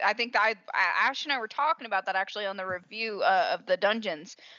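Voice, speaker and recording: A woman with a Southern US accent talks at a very fast pace, keeping a medium pitch and ordinary pitch variation. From US South. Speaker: podcast host. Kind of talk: casual chat. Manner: animated.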